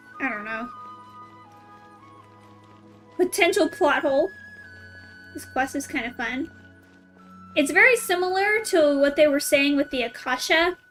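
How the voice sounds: Over faint background music, a woman speaks at a fairly slow pace with long, frequent pauses, a high pitch, a fairly bright tone and lively intonation.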